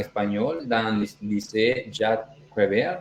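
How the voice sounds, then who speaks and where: This is a man's voice. It sits at a medium pitch. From El Salvador. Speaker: language teaching assistant. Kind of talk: casual podcast chat. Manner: halting.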